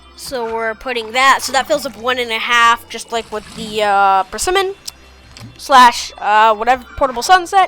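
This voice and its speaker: A woman with a high pitch and lively intonation at a moderate pace, big swings in loudness, music in the background. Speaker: gaming youtuber. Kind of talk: let's play commentary. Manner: halting, many fillers.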